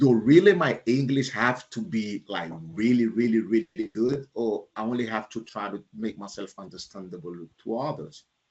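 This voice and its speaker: In a Panamanian accent, a man talks with hardly any pauses and big swings in loudness. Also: medium pitch for a man, lively intonation, moderate pace. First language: Spanish. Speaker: leadership speaker and author. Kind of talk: keynote talk answering audience questions. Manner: halting, with many fillers.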